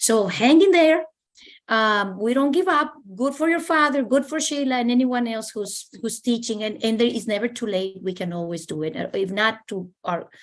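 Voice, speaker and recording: A woman speaks at a moderate pace with a Spanish accent and a fairly high pitch. Her pitch swings very widely against a quiet background. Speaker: university staff panelist. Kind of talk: panel discussion. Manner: halting.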